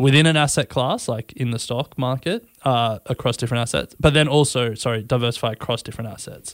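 A man at medium pitch and moderate pace, with ordinary pitch variation, in a dry, close recording with no echo. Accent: Australian. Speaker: podcast co-host. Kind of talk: casual chat.

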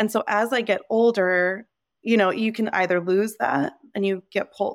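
This woman speaks in a New Jersey accent at a medium pitch. Her pitch variation is ordinary and her pace moderate. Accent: American (New Jersey). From US Northeast (New Jersey). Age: 30s. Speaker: nonprofit founder. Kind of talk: interview conversation.

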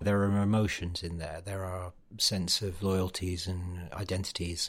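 A man with a very deep, low, somewhat breathy voice speaks at a moderate pace in a very clean recording with a silent background. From northern England, Darlington. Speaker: political journalist and podcast host. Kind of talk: political interview.

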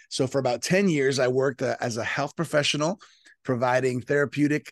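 An ordinary speaking voice, a man with an American accent at a fairly quick pace. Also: dry, close sound with no echo. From South Florida, Colombian parents. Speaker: pastor. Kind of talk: interview.

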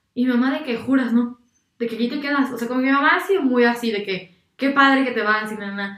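The speaker's pace is very fast. Pitch varies in an ordinary way. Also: woman, high pitch for a woman. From Mexico, San Luis Potosí. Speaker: architecture student, former volunteer abroad. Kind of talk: casual chat. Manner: animated.

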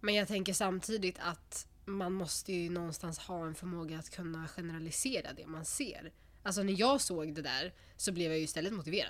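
Talking at a fairly quick pace, a woman has an ordinary speaking voice with fairly low pitch and ordinary pitch variation. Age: 20s. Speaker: psychology student. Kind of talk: casual chat.

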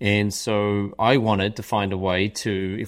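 The recording is very clean, with a silent background. The speaker has an Australian accent. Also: man. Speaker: author and consultant. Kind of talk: interview conversation.

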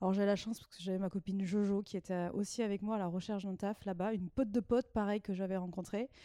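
A woman with a dark, mellow tone speaks at a very fast pace with hardly any pauses, her intonation monotone and flat. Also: medium pitch for a woman. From southwestern France. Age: 30s. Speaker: former expatriate. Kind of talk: casual chat.

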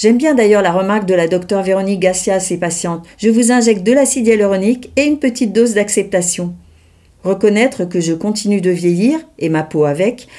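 This speaker talks at a moderate pace with ordinary pitch variation. The tone is dark and mellow. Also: woman. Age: 60s. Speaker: podcast host and journalist. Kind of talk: solo monologue, scripted.

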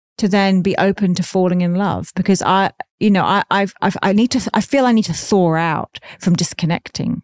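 With an Australian accent, a woman speaks at a medium pitch with fairly even intonation. Her loudness stays very even, and the sound is dry and close with no echo. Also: moderate pace. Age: 40s. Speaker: podcast host, former sex worker. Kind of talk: casual interview chat.

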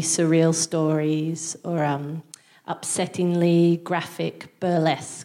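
Speaking with an Australian accent, a woman with a fairly low pitch and a dark, mellow tone keeps a fairly even intonation. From Australia, Newcastle NSW. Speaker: stand-up comedian. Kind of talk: stand-up. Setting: stage with audience. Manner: halting.

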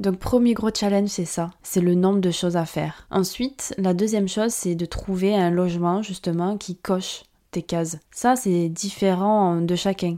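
Speaking at a fairly slow pace with hardly any pauses, a woman has a medium pitch and a dark, mellow tone in a very clean recording with a silent background. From France. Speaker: podcast host, marketing consultant. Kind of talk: solo podcast monologue. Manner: casual, animated.

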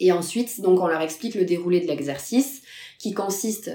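A woman at a moderate pace with ordinary pitch variation, amid noticeable background noise. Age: 30s. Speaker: recruiter. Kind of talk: interview.

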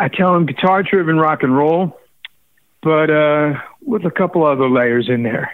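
A man's normal speaking voice at a fairly high pitch, with ordinary pitch variation and a moderate pace. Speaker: musician. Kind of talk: casual interview. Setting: phone call.

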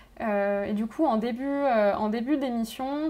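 A woman with an unremarkable speaking voice, fairly high in pitch, with ordinary pitch variation at a fairly slow pace. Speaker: radio host. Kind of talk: interview.

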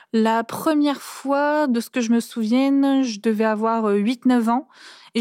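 Fairly high in pitch, a woman speaks in a plain, everyday voice with fairly even intonation. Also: very clean recording, silent background. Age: 20s. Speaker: daughter of an incarcerated mother. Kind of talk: testimony. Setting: seated on the floor, cosy studio.

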